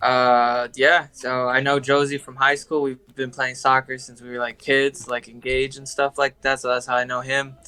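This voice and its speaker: This man has an American accent, a medium pitch and a bright, sharp tone, with monotone, flat intonation. He keeps a moderate pace with hardly any pauses, while his loudness swings widely. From California (Huntington Park, Los Angeles area). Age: 20s. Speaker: film industry assistant. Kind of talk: casual chat. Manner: halting, many fillers.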